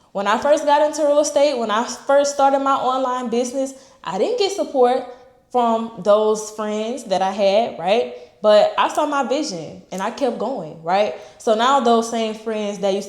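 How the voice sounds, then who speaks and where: Audible room echo surrounds a woman's voice. She speaks at a moderate pace with ordinary pitch variation. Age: 20s. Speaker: entrepreneur and real estate vlogger. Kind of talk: casual motivational vlog talk. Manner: casual, unscripted, with fillers like okay and all right.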